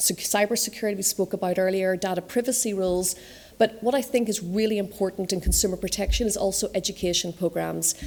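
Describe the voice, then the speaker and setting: A woman at medium pitch speaks at a very fast pace with ordinary pitch variation. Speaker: conference speaker on fintech regulation. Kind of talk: conference talk.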